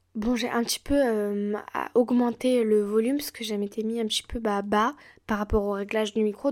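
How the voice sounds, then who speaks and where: Her fairly high voice stays monotone and flat. The woman keeps a moderate pace in a very clean recording with a silent background. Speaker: podcast host. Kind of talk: solo podcast advice talk. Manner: casual, with many fillers.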